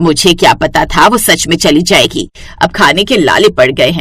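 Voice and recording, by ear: Putting on a character voice, a woman speaks at a moderate pace with low pitch, lively intonation, a fairly bright tone and a slightly husky edge.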